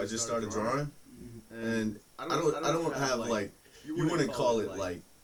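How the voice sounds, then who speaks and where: A man's voice with ordinary pitch variation and noticeable background noise. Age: 40s. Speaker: guest telling life story. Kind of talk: casual chat. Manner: halting, repeats words.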